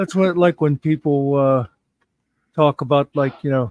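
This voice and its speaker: A normal speaking voice: a man with an American accent, fairly high in pitch, at a moderate pace with ordinary pitch variation. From United States. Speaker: live stream host. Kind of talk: casual chat.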